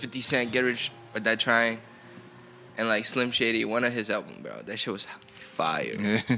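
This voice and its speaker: Music sits in the background. A man at medium pitch talks at a moderate pace in a flat monotone. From China, Shenzhen; moved to US around age 7-8. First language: Chinese. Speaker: rapper. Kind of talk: casual chat.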